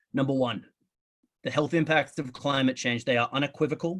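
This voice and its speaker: A man speaks very fast in an Australian accent. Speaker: public health researcher. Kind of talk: lecture.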